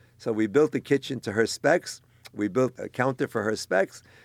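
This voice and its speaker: On a very clean recording with a silent background, a man with an ordinary speaking voice talks at a medium pitch and a moderate pace. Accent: American. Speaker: grocery business owner. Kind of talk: interview.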